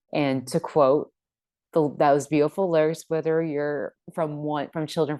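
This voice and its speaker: A woman speaks in a very deep, low pitch. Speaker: author. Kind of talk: interview answer.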